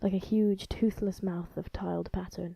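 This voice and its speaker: A woman's dark, mellow voice at a moderate pace, with a dry, close sound and no echo. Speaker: amateur illustrator and storyteller. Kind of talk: horror short story narration read by the author. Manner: creepy, dark, unsettling narration.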